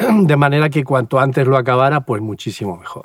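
At a moderate pace, this speaker has a plain, everyday voice with lively intonation. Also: man. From Spain, Valencia region (Puerto de Sagunto). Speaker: pastor and former army helicopter pilot. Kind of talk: interview testimony. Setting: outdoors at a mountain helipad.

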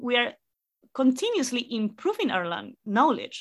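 With a Spanish accent, a woman speaks at a moderate pace in a high, bright, sharp voice. The recording is very clean, with a silent background. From Chile, La Serena. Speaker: astrophysicist. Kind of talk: interview.

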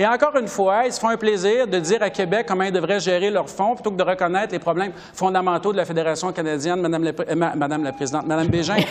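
Over noticeable background noise, a man with a high pitch speaks at a very fast pace with hardly any pauses and ordinary pitch variation. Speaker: member of parliament. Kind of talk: political debate.

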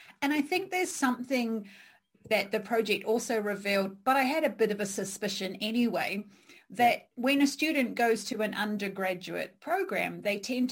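This woman has a fairly high, somewhat breathy voice. She talks at a moderate pace with lively intonation. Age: 40s. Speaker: podcast host and career coach. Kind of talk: interview.

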